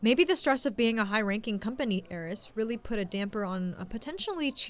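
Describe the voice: Someone is doing a plain reading aloud. The intonation is lively.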